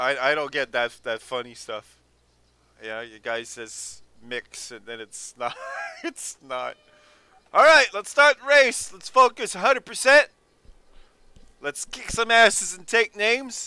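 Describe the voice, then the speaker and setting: A man's raised, projected voice, high in pitch and bright and sharp in tone, at a fairly slow pace with long, frequent pauses, very wide pitch swings and big jumps in loudness. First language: French. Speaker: sim racing streamer. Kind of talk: live gameplay commentary. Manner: animated.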